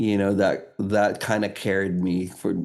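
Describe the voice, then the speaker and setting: Fairly low-pitched man's voice, dark and mellow in tone, with audible room echo. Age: 40s. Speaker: photographer. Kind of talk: casual interview chat.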